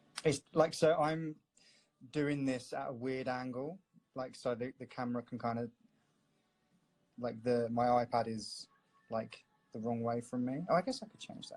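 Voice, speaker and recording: A man with a London accent talks at a medium pitch and moderate pace, with fairly even intonation. His loudness swings widely, and he takes long, frequent pauses. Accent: London English, milder than cockney. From north-west London. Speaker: tattoo artist. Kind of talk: live-stream drawing chat. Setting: live video stream. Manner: casual, filler-heavy.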